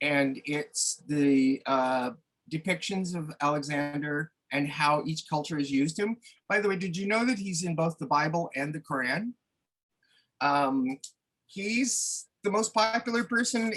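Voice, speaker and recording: A man speaks at a fairly slow pace with a Maritime Canadian accent. His pitch is fairly high, his tone bright and sharp, and his intonation lively. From New Brunswick, Canada. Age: 60s. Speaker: retired artist. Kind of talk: interview. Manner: halting, many fillers.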